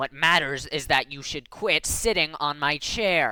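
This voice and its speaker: A put-on, growling character voice at a middle pitch and fairly slow pace, on a very clean recording with a silent background. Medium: read story. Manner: flat, growling.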